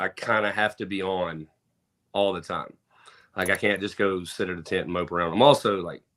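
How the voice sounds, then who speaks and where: A man with a Southern US accent speaks at a fairly quick pace in a very deep, low voice with fairly even intonation. The recording is very clean with a silent background. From US South, Mississippi (Pearl, near Jackson). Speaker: truck show event promoter. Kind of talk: casual podcast interview.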